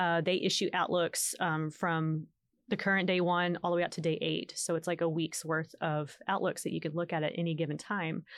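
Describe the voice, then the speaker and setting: A woman's fairly low voice with an American accent, monotone, flat intonation and very even loudness, over a quiet background. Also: moderate pace. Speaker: storm chaser. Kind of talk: casual interview.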